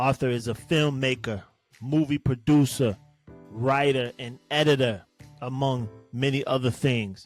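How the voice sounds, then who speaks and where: With music in the background, a man of medium pitch speaks at a fairly slow pace and with fairly even intonation. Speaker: podcast host. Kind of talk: podcast intro.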